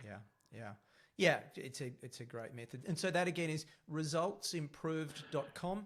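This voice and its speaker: A man with an Australian accent uses a fairly high, somewhat breathy voice at a moderate pace, with lively intonation and big swings in loudness. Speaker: podcast host. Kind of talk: interview. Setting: podcast.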